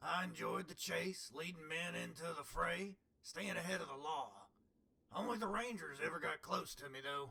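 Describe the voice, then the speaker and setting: A man puts on a raspy character voice set high for a man. He speaks at a moderate pace. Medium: machinima. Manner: world-weary, earnest.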